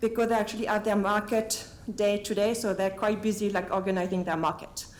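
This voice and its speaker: Over noticeable background noise, a woman with a fairly high pitch speaks with fairly even intonation. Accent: French. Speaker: meeting facilitator. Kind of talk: meeting introduction. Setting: meeting room with table microphones. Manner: halting.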